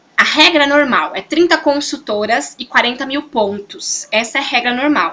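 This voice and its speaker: Using a raised, projected voice, a woman speaks at a high pitch with lively intonation and hardly any pauses. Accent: Brazilian. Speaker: sales consultant and team coach. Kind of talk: motivational training talk. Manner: fast; animated.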